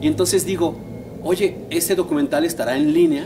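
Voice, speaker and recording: This man has a high pitch and a central Mexican accent, speaking at a fairly quick pace with lively intonation. Light background noise can be heard. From Mexico, Puebla state (San Martín Texmelucan); Puebla, Mexico. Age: 40s. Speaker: history graduate student; interviewee. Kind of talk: interview. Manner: conversational, with filler words. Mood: engaged storytelling. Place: garden.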